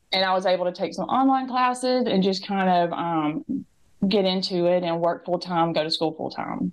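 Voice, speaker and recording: With a strong Southern US accent, a woman speaks at a moderate pace. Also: medium pitch for a woman, ordinary pitch variation. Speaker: interview guest, former student mom. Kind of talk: interview storytelling. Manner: hesitant with fillers.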